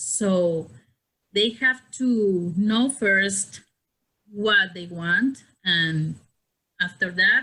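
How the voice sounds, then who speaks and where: The speaker has a non-native accent and a bright, sharp tone. The pace is very slow, with long, frequent pauses and ordinary pitch variation. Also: woman, medium pitch for a woman. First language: not English. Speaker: podcast guest. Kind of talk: casual chat.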